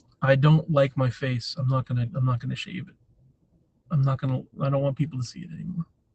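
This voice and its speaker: Very fast, somewhat breathy speech with big swings in loudness and ordinary pitch variation. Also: man, fairly high pitch for a man. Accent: American. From New Hampshire, US. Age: 40s. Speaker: live streamer. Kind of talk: casual chat. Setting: livestream. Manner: casual, meandering.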